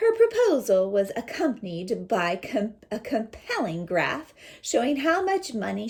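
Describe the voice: What you hear is plain reading aloud.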